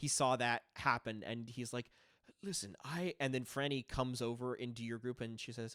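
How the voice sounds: Someone reads in a natural reading voice, keeping the intonation fairly even.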